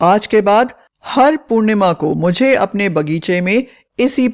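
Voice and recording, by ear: Against a quiet backdrop, the text is read aloud in a natural voice.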